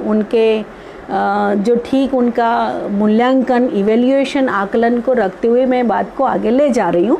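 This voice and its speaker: A woman's high-pitched voice in audible room echo, with noticeable background noise. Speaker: women's activist, speaker. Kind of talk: online lecture talk. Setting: live online talk. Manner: halting, many fillers.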